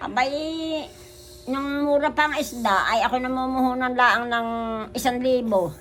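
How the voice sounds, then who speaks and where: Speaking at a fairly slow pace, a woman with a high voice uses ordinary pitch variation. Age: 80s+. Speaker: street vendor. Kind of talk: interview answer.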